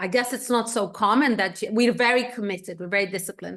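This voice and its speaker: Against a quiet background, a woman speaks at a high pitch with an Egyptian accent. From Egypt, Cairo. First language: Egyptian Arabic. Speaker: economist and researcher. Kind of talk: interview.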